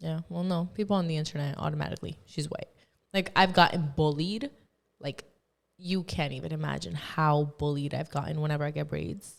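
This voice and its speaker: This woman has a Spanish accent. She talks at a fairly quick pace. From Colombia. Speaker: podcast guest. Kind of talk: casual chat.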